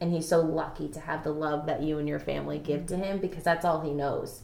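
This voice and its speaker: There is noticeable background noise behind this speaker. A woman talks at a moderate pace with a fairly low pitch. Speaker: host's daughter. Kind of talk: casual chat.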